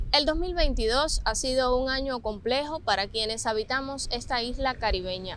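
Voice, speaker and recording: A woman with a high pitch keeps a moderate pace. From Cuba. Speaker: TV reporter. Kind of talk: TV news report narration.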